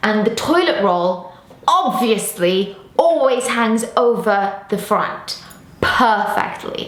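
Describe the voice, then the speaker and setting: At a very slow pace, a woman with an English accent speaks at a fairly high pitch, with audible room echo and noticeable background noise. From England. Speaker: football presenter. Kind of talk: casual Q&A. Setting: outdoors on a rooftop.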